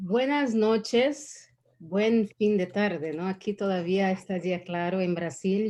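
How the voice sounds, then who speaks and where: A woman with a Brazilian accent, medium pitch, ordinary pitch variation, a dark, mellow tone and a very slow pace, against a quiet background. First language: Portuguese (speaking Spanish). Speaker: diversity and inclusion consultant. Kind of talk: online panel talk.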